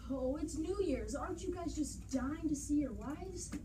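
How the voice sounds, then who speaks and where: The voice is a put-on character voice delivered at a moderate pace. Loud background noise runs underneath. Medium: stage play.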